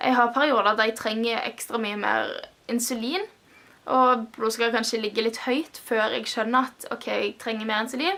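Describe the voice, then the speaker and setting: A woman with a fairly high pitch and a bright, sharp tone talks at a moderate pace with ordinary pitch variation. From Stavanger, Norway. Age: 20s. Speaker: music student living with type 1 diabetes. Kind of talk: personal vlog talk to camera.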